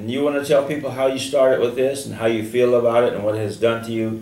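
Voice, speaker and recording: With an American accent, a man of medium pitch talks at a fairly quick pace amid noticeable background noise and audible room echo. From US South. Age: 70s. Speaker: radio host. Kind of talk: radio interview.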